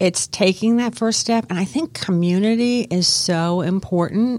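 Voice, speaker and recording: A woman with an American accent has an unremarkable speaking voice, with ordinary pitch variation and a moderate pace. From Miami, Florida. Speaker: aromatherapist. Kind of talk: radio interview. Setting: radio studio.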